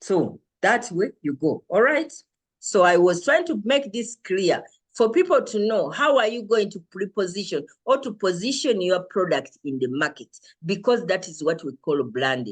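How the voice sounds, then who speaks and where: A woman speaks loud at a moderate pace. Her pitch swings very widely. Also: medium pitch for a woman. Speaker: lecturer. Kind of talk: lecture. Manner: confident.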